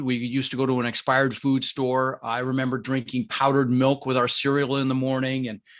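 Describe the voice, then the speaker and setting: A man with a General American accent and a medium pitch. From Denver, Colorado (immigrated from the Netherlands at six). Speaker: real estate investor. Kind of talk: interview.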